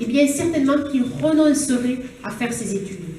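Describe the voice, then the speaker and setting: A woman speaks in a southern French accent with a high pitch and lively intonation. Audible room echo surrounds her voice. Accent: southern French (Toulouse). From southern France, Toulouse area (Haute-Garonne). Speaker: politician, regional election candidate. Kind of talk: campaign speech. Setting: public meeting hall with audience.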